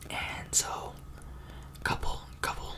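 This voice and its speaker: Whispering over noticeable background noise. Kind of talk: ASMR scary story told from memory in a casual, chatty way; casual talk to camera, improvised storytelling with filler words.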